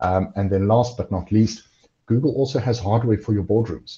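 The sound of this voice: At a moderate pace, a man speaks fairly low for a man, with a dark, mellow tone, a slightly husky edge and ordinary pitch variation.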